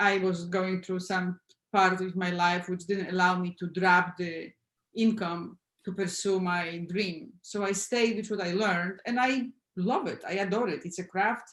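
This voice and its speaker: A woman's medium-pitched voice with a Polish accent, a moderate pace and fairly even intonation. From Poland. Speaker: film sound editor. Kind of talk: panel discussion.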